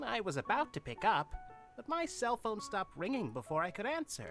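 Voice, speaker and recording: A put-on character voice runs at a fairly quick pace with a fairly high pitch and very wide pitch swings. Clear music plays in the background. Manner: theatrical, exaggeratedly delighted.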